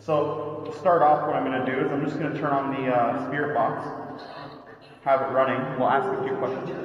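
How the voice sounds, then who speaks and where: A man's fairly quick, fairly even-toned speech in audible room echo, over light background noise. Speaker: paranormal explorer vlogger. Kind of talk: casual vlog chat. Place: tunnel cave.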